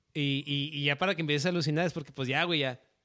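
The speaker is a man. His tone comes across bright and sharp. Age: 30s. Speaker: podcast host. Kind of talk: casual chat.

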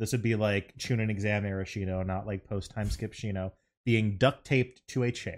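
A man with a fairly low pitch talks in an ordinary speaking voice, with fairly even intonation, on a very clean recording with a silent background. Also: moderate pace. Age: 30s. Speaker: podcaster. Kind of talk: casual chat.

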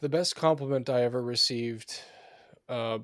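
Recorded very cleanly against a silent background, a man with an American accent uses a normal speaking voice at medium pitch and a moderate pace. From US Pacific Northwest. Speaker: podcast co-host. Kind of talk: casual chat; scripted intro.

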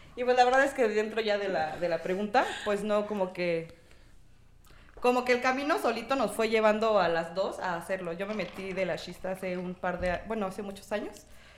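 A woman's fairly high voice at a fairly quick pace, with ordinary pitch variation amid noticeable background noise. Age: 20s. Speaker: lash technician. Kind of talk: casual chat.

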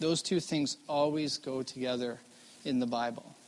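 A man's fairly high voice with a western Canadian accent. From Vancouver, Canada. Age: 40s. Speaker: missionary guest preacher. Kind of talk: chapel talk with improv interview. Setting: college chapel stage with audience.

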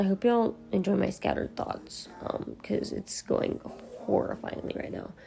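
A woman with an American accent speaks at a moderate pace in a tired tone, with noticeable background noise behind her. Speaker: podcaster and college student. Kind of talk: casual solo ramble. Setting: recording at night at home, no earbuds. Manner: tired, casual.

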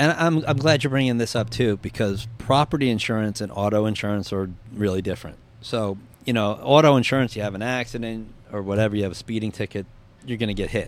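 A man with a New Jersey accent speaks at a very fast pace, his fairly low pitch showing ordinary pitch variation. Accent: New Jersey American. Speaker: insurance claims adjuster. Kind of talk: casual interview.

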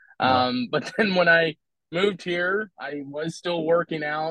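A man with an American accent and a plain, everyday voice, fairly high pitch, ordinary pitch variation, and a moderate pace. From Philadelphia, US. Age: 40s. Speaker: men's workout group member. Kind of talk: podcast interview.

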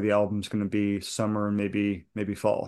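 The speaker has an American accent and a fairly quick pace. The background is quiet. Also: man. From New England (outside Boston). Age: 40s. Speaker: bluegrass musician. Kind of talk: casual interview chat.

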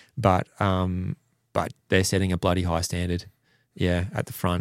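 A man with an Australian accent, very deep and low-pitched, at a fairly slow pace, in a very clean recording with a silent background and a dry, close sound with no echo. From Western Australia (Perth). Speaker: motorcycle racer. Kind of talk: casual interview.

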